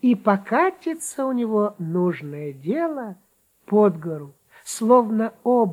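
With lively intonation, someone reads aloud in a natural voice against a quiet background.

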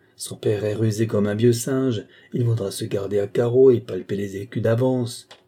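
An unforced reading voice. It carries the whole clip.

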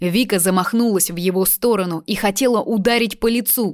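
The pitch varies in an ordinary way as the text is read aloud in a natural voice.

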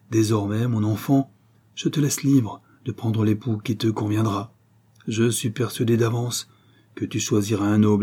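This unforced reading voice keeps its intonation fairly even.

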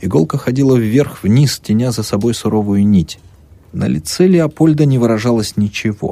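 Text is read out in a plain way. Nothing more than plain reading aloud.

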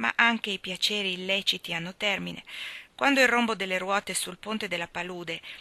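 Someone reads the text aloud in a natural voice.

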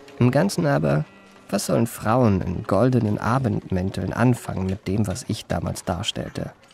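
Putting on a character voice, a man with a fairly low pitch talks at a moderate pace with lively intonation, vocal fry, a slightly mellow tone and a slightly husky edge.

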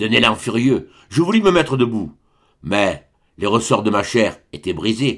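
Lively intonation in plain reading aloud, set against a quiet background.

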